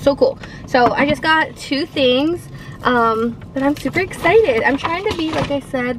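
Over noticeable background noise, a woman with a high-pitched voice talks at a moderate pace with ordinary pitch variation, the sound dry with no echo. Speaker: vlogger. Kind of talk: casual vlog chat. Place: car. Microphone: phone near.

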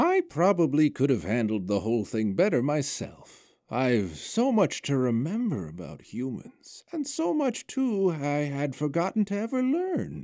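A man's put-on character voice at a fairly high pitch, with hardly any pauses, in a very clean recording with a silent background. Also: moderate pace. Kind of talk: fantasy story reading. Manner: warm, gentle, whimsical.

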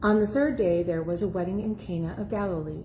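Against light background noise, a woman talks at a moderate pace. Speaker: scripture reader. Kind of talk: scripture reading. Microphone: phone near.

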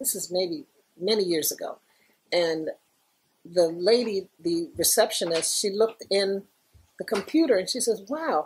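A woman with a New York accent, medium pitch and lively intonation, at a fairly slow pace with long, frequent pauses. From New York, the Bronx. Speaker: former graffiti artist; interviewee. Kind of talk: oral history interview. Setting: recording with small group present. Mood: warm, amused.

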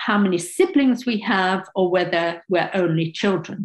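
Somewhat breathy, a woman speaks with a British accent and lively intonation against a quiet background. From England. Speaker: sociology professor. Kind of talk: seminar talk; lecture. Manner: halting. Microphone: webcam.

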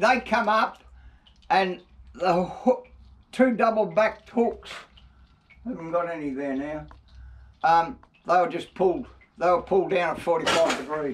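This man has an Australian accent and a high voice with lively intonation. He talks at a fairly slow pace, with long, frequent pauses. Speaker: retired Murray cod fisherman. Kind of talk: reminiscing interview answer. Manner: casual, hesitant. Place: workshop.

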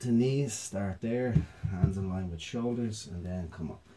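The man sounds somewhat breathy. He keeps a moderate pace and ordinary pitch variation. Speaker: mobility and yoga instructor. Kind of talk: exercise tutorial instruction. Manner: calm, hesitant with filler words.

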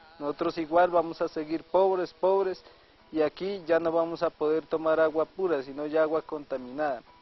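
Dry, echo-free audio of a man at a moderate pace, fairly even intonation, and faint music in the background. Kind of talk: interview answer. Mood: aggrieved, earnest. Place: farm.

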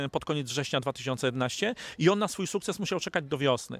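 Heard dry with no echo, a man talks at a moderate pace with ordinary pitch variation. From Poland. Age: 40s. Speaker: network marketing distributor. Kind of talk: interview. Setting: studio. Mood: upbeat, optimistic. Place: garden. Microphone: handheld.

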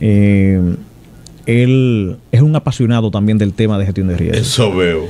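A man at a fairly slow pace with ordinary pitch variation, over light background noise. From Dominican Republic. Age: 40s. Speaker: emergency operations director, army general. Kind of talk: radio interview. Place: studio. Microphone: studio mic.

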